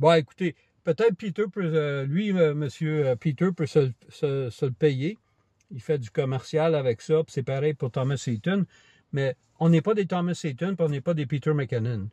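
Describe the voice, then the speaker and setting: A man's somewhat breathy voice has a dark, mellow tone, recorded with a dry, close sound with no echo. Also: ordinary pitch variation, fairly slow pace, quiet background. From Quebec. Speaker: camera vlogger. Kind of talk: casual vlog monologue. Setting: outdoors on a walk. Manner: hesitant, many fillers.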